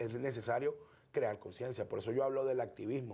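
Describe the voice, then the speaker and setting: Here a man speaks at a fairly quick pace. His somewhat breathy voice sits at a fairly high pitch. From eastern Venezuela (El Tigre, Anzoátegui); Anzoátegui, Venezuela. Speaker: political activist; guest. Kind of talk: interview. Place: studio. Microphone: lapel.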